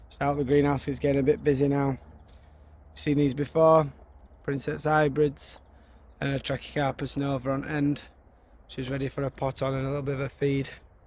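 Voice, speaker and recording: Fairly quick and monotone, a man with a Yorkshire accent speaks in a fairly high voice with flat intonation. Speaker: gardening YouTuber. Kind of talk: garden tour vlog. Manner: halting, repeats words.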